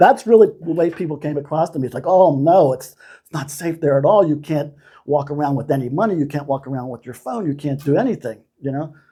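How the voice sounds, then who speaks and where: This man talks at a fairly quick pace with hardly any pauses, his fairly high-pitched voice dark, mellow and somewhat breathy, with ordinary pitch variation. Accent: American. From United States. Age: 60s. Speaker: retiree. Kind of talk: interview answer.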